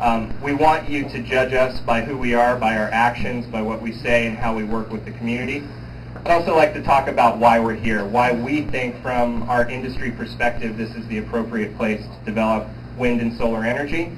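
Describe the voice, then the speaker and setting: Noticeable background noise and audible room echo surround a man's voice. He talks at a fairly quick pace with fairly even intonation. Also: medium pitch for a man. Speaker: project manager at a renewable energy company. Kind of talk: community meeting presentation. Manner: loud.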